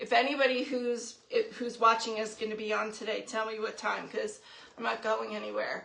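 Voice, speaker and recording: Her bright, sharp voice sits fairly high for a woman, carrying vocal fry and fairly even intonation at a moderate pace. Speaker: craft livestream host. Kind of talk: live craft tutorial. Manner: casual chatty.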